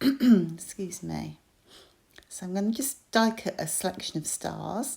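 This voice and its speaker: A woman speaks at a fairly slow pace with lively intonation. Noticeable background noise runs underneath. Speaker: crafter. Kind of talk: tutorial. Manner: hesitant with fillers.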